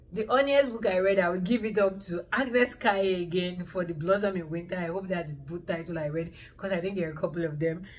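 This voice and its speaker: A woman speaks at a very fast pace in an animated tone, with hardly any pauses and ordinary pitch variation. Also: medium pitch for a woman. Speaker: booktuber and author. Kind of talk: casual book review monologue.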